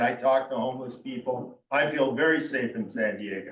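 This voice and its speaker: Here a man talks at a medium pitch and moderate pace, with ordinary pitch variation. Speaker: resident commenter at community meeting. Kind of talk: public comment. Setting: seated at community meeting. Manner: halting.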